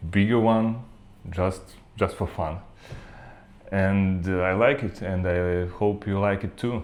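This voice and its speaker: At a very slow pace and with long, frequent pauses, a man speaks in a very deep, low voice with a non-native accent and fairly even intonation. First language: not English. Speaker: 3D printing maker. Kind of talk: tutorial. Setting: new office. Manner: halting, many fillers.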